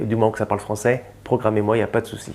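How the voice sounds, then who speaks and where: A man's voice over noticeable background noise. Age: 40s. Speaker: comedian. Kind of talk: interview portrait. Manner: hesitant, many fillers.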